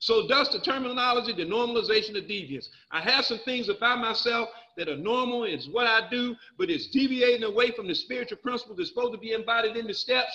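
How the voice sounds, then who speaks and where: With an animated tone and a raised, projected voice, a man talks at a very fast pace and an extremely high pitch, with ordinary pitch variation over a quiet background. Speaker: recovery speaker. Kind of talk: personal testimony.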